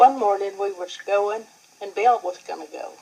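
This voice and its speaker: A woman talks at a moderate pace while noticeable background noise fills the recording. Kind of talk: interview answer, family reminiscence.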